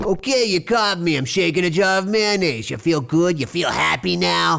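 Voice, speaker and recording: A man puts on a character voice. It sits at a high pitch. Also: moderate pace. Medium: audio drama. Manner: teasing, chuckling.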